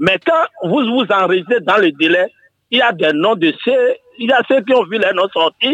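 Pitched high, a man talks with lively intonation and very even loudness. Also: fairly slow pace. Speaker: caller, opinion leader. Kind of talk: radio phone-in call.

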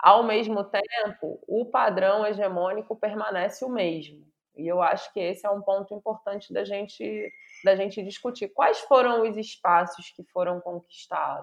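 In an ordinary speaking voice, a woman talks at medium pitch and a fairly slow pace. Her intonation stays fairly even while her loudness swings widely. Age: 40s. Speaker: university professor. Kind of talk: interview conversation.

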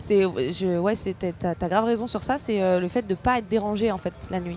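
A woman with a plain, everyday voice speaks at a medium pitch and a fairly slow pace with fairly even intonation. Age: 30s. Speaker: stand-up comedian. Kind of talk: casual chat.

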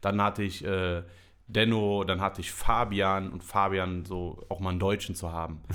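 A man with a very deep, low pitch at a moderate pace, flat and monotone in intonation. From Germany, Düsseldorf. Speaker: podcast host and comedy show organizer. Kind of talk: casual chat.

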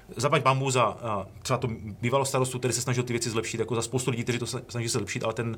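A man with a medium-pitched voice speaks at a very fast pace, his intonation fairly even. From Czech Republic, Ostrava region (Orlová). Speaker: bank chief economist. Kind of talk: interview.

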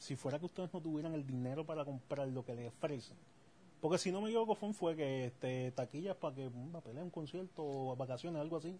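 Speaking very fast, the man has a dark, mellow tone that is somewhat breathy. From Puerto Rico. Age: 30s. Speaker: podcast co-host. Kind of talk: casual chat.

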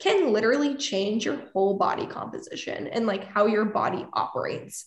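A woman speaks at a fairly quick pace. The room echo is audible. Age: 20s. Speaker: actress, influencer and music PR consultant. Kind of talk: casual interview.

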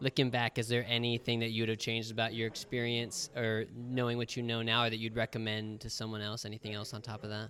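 A man at medium pitch with an American accent, a bright, sharp tone, monotone, flat intonation, a very fast pace and hardly any pauses. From United States. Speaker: travel podcast host, English teacher. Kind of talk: casual interview chat. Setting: outdoors at open-air hostel.

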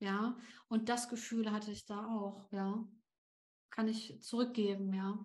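A woman talks at a fairly high pitch in a somewhat breathy, monotone, flat voice. Her pace is very slow, with long, frequent pauses. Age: 30s. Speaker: LinkedIn coach and founder. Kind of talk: podcast interview.

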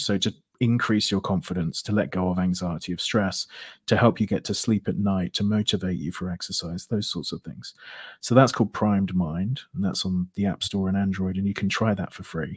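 On a very clean recording with a silent background and a dry, close sound with no echo, a man with a British accent and fairly low pitch speaks at a fairly quick pace with ordinary pitch variation. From Britain. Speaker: hypnotherapist. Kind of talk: interview.

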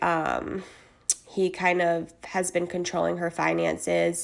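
Very slowly, a woman speaks while noticeable background noise carries on. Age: 20s. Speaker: podcast host. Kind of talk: casual monologue.

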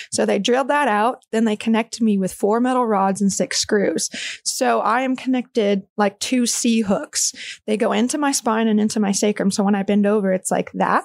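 In a plain, everyday voice, a woman with an American accent speaks at a moderate pace with hardly any pauses, a fairly high pitch, fairly even intonation and very even loudness, in a dry, close sound with no echo. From Texas, small town near Austin. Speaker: pro obstacle racer and tattoo artist. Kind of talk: casual interview chat.

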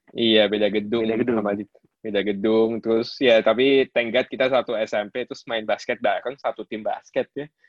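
The delivery is monotone and flat. It keeps a moderate pace. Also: man, medium pitch for a man. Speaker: podcast host, diver. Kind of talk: casual chat. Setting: remote recording on digital platform.

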